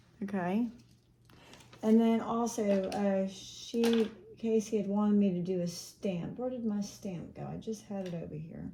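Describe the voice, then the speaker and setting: Her pitch sits in the medium range, and her intonation stays fairly even. This woman speaks at a fairly slow pace. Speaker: makeup vlogger. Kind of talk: makeup tutorial. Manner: soft-spoken; casual, thinking aloud.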